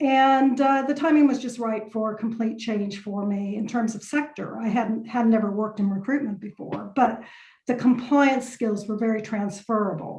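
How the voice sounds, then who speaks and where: At a moderate pace, a woman talks in a fairly high pitch with ordinary pitch variation, and audible room echo surrounds her voice. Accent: American. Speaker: lawyer. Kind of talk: podcast interview. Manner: hesitant fillers.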